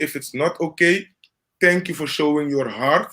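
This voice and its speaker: Bright and sharp in tone, a man with a Dutch Caribbean accent speaks at a fairly slow pace with ordinary pitch variation. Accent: Dutch-Caribbean accent with rolled R's. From Caribbean, Curacao. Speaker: live stream host. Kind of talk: casual chat.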